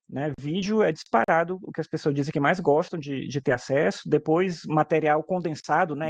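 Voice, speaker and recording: Recorded dry and close with no echo, a man talks with fairly even intonation at a fairly high pitch. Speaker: teacher. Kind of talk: webinar interview. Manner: fast; casual, hesitant repetitions.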